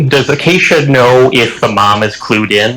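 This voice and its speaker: The man talks at a very slow pace with a medium pitch and ordinary pitch variation. Noticeable background noise runs behind him. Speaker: tabletop game player. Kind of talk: tabletop roleplay chat. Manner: halting.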